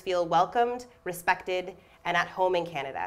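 A woman with a medium pitch, a plain, everyday voice and a moderate pace. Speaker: theatre associate artistic director and moderator. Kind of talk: moderated panel talk. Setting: stage with live audience. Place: stage.

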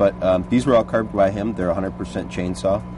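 A man talks in a dry sound with no echo. Noticeable background noise runs behind him. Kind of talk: interview answer. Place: street.

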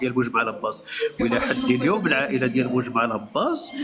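Over noticeable background noise, a man speaks very fast in a fairly high pitch with lively intonation. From Morocco. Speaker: Amazigh movement activist; guest. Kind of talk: lecture-style talk. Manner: halting, repeats words. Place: home room. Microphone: video call.

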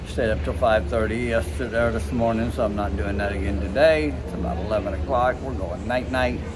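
With a very deep, low pitch and very wide pitch swings, a man talks with hardly any pauses through noticeable background noise. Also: moderate pace. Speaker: cruise vlogger. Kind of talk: casual vlog chat. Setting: cruise ship. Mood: tired, relaxed wind-down. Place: bar. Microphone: phone near.

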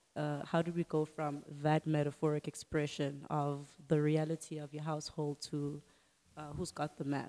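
A woman with a South African accent speaks at a moderate pace, her very deep, low voice dark and mellow in tone and monotone and flat in intonation. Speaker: podcast host. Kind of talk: casual interview. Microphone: handheld.

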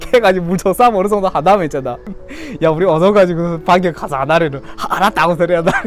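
A man with a Yanbian accent talks at a very fast pace and a high pitch, with ordinary pitch variation. Music plays in the background. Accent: Yanbian Korean dialect. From Korean-Chinese from Yanbian, China. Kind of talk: casual talk to camera.

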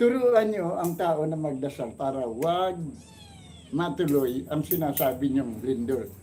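Very slow speech with audible room echo. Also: man. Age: 70s. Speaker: comedy channel host. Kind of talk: casual chat.

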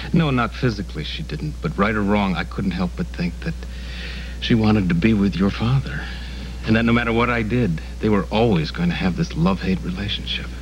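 Fairly quick in pace, a man speaks with a very deep, low pitch over light background noise. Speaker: soap opera actor. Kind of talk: scripted drama dialogue.

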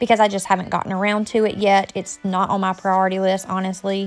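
Over music in the background, a woman talks at a fairly quick pace in a monotone, flat intonation. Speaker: home vlogger. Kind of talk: casual vlog narration.

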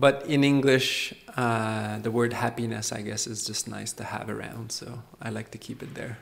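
In a relaxed tone, a man speaks at medium pitch and a moderate pace, his intonation monotone and flat while his loudness swings widely. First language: French. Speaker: Buddhist monk and meditation teacher. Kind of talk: dharma talk. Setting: meditation retreat with live audience. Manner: relaxed, frequent fillers and laughs.

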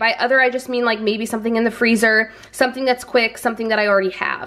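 A woman speaks with a bright, sharp tone. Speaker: vlogger. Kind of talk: casual vlog chat. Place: kitchen. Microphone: camera far.

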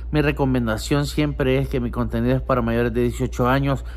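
This man speaks with a Salvadoran accent at a moderate pace. His voice is very deep and low. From El Salvador. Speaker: vlogger. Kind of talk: casual vlog. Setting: outdoors on the street. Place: home room. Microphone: phone near.

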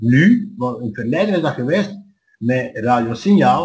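Somewhat breathy and at a moderate pace, a man speaks with very wide pitch swings. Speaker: dialect society member. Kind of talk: interview answer. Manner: hesitant.

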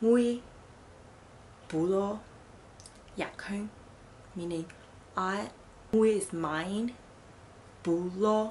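Somewhat breathy and very slow, a woman speaks with an American accent at a medium pitch with ordinary pitch variation over light background noise. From Fuzhou, China (Fujianese heritage), living in New York City. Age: 20s. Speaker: language tutorial vlogger. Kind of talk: casual language lesson to camera. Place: home room. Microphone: phone near.

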